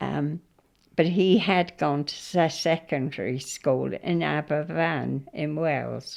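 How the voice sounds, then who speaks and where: The pace is very slow. The accent is southern English. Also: woman. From southern England, Hampshire. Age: 90s. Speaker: interviewee recalling her life. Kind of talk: oral history interview. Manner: halting, with repeated false starts.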